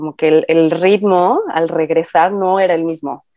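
A woman with a plain, everyday voice speaks at a fairly low pitch and a fairly slow pace, her intonation fairly even. The recording is very clean with a silent background, and the sound is dry and close with no echo. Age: 30s. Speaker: graphic designer and mother. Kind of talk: casual chat.

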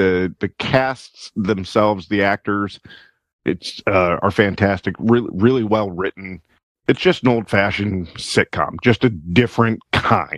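In a very clean recording with a silent background and a dry, close sound with no echo, a man with a normal speaking voice talks at a fairly slow pace and a fairly low pitch with ordinary pitch variation. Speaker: podcast co-host. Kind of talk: casual banter.

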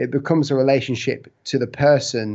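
With a British accent, a man talks at a moderate pace using fairly even intonation. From UK. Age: 20s. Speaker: hand lettering artist and designer. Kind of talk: casual interview.

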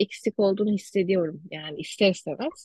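A woman talks at a moderate pace in an ordinary speaking voice, medium in pitch, with a dry, close sound and no echo. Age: 20s. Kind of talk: casual interview chat.

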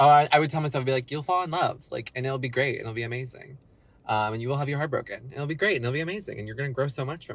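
Somewhat breathy, a man speaks at a very fast pace with a fairly high pitch and ordinary pitch variation. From Texas. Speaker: friend of host, former theater actor. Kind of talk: casual chat.

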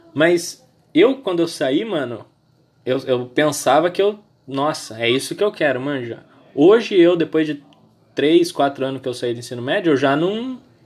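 Intonation here is lively, at a moderate pace. Long, frequent pauses break up the speech. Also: man, fairly high pitch for a man. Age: 20s. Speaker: podcast host. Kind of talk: casual chat.

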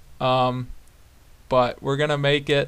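On a very clean recording with a silent background, a man talks at a moderate pace with an American accent. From southern Wisconsin, US Midwest. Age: 20s. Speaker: podcast host, fly fisherman. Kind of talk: solo podcast intro, casual monologue. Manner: casual with frequent fillers (um, uh).

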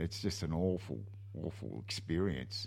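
A man's fairly low, somewhat breathy voice with an Australian accent, at a moderate pace. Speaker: radio host. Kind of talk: casual interview. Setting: studio.

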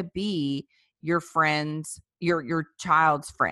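A woman with a Southern US accent has a very deep, low pitch and a bright, sharp tone, recorded dry and close with no echo against a quiet background. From US South, South Louisiana. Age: 30s. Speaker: pro-life activist, former clinic director. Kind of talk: interview.

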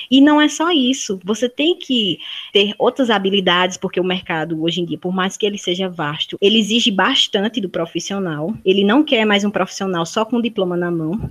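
With lively intonation, a woman talks in an ordinary speaking voice, her pitch medium and her pace moderate. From Brazil, Paraíba (Campina Grande). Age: 20s. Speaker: university student. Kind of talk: interview.

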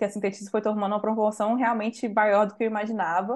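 At a fairly quick pace, a woman talks in a normal speaking voice of medium pitch. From Brazil, Minas Gerais (Santa Luzia, Belo Horizonte area). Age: 20s. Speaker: designer and community leader. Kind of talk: interview conversation.

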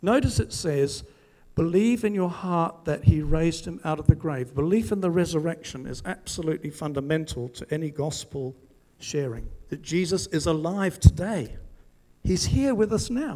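A man speaks in a plain, everyday voice at a fairly high pitch. His loudness swings widely. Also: moderate pace. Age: 60s. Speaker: preacher. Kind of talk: sermon. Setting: church with congregation.

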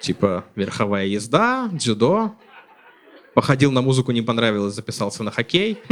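A man speaks at a moderate pace with ordinary pitch variation. His speech has long, frequent pauses. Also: medium pitch for a man. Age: 30s. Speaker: stand-up comedian. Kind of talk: stand-up comedy. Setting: stage with audience.

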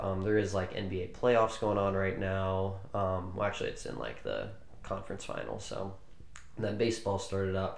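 A man speaks at a moderate pace in a fairly low voice, with noticeable background noise. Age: 20s. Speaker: podcast co-host. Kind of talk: casual chat.

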